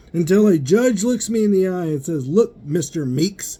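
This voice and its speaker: Loud and fairly quick, a high-pitched man speaks in a dark, mellow tone with lively intonation. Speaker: vlogger. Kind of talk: personal rant. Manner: animated.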